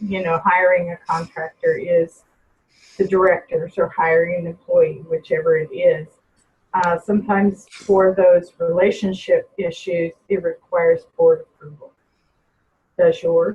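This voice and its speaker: Her loudness swinging widely, a woman talks at a fairly slow pace. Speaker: personnel trainer. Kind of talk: webinar presentation with Q&A.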